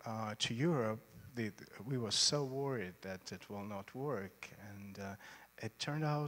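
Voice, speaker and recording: A man talks at a fairly slow pace with a Russian accent. His loudness swings widely, and the recording is very clean with a silent background. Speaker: choreographer. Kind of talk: on-stage interview. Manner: halting.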